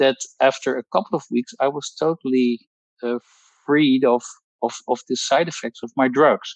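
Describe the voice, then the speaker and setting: A man with a Dutch accent at a medium pitch and moderate pace, fairly even in intonation, with long, frequent pauses and a dry, close sound with no echo. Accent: Dutch accent, non-native English. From Netherlands. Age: 60s. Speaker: pharmacologist giving a testimonial. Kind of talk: testimony. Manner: halting, many fillers and repetitions.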